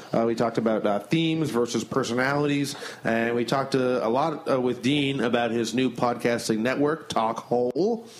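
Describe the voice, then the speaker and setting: A man speaks at a fairly quick pace with a medium pitch and very even loudness, over noticeable background noise. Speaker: podcast host and stand-up comedian. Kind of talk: casual chat.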